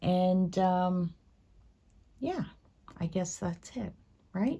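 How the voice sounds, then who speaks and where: Soft-spoken and somewhat breathy, a woman talks very slowly at a medium pitch with a dark, mellow tone and ordinary pitch variation. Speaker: craft video creator. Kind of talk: casual stitch-along chat. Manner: hesitant, many fillers.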